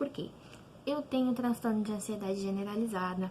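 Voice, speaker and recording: A woman speaks with a fairly high pitch. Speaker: teacher. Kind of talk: online class talk to students. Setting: home, online video lesson.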